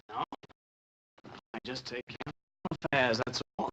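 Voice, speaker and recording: In a put-on character voice of medium pitch, a man talks at a fairly slow pace, the sound dry and close with no echo. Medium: short film. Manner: laconic, insolent.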